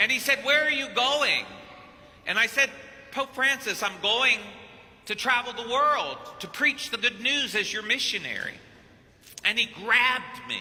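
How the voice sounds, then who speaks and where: A man with an extremely high pitch speaks in a raised, projected voice at a fairly slow pace, with fairly even intonation and long, frequent pauses. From Kentucky. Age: 50s. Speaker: priest. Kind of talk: sermon.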